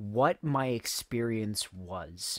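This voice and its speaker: A man's shaky, medium-pitched voice, with ordinary pitch variation, comes through dry and close with no echo on a very clean recording with a silent background. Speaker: music cover artist and channel owner. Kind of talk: casual vlog monologue. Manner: shaky, stuttering.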